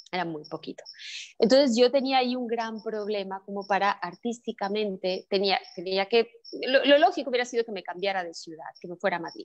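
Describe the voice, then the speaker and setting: A woman speaks at a fairly quick pace in a medium pitch, with ordinary pitch variation. Her loudness swings widely. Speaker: actress and theatre maker. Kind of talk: interview. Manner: halting, many fillers.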